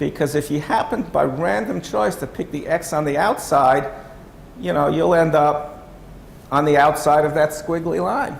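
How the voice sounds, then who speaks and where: There is audible room echo around the voice. The speech moves at a moderate pace with lively intonation. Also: man, fairly high pitch for a man. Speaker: workshop presenter. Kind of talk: lecture. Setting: workshop room with audience.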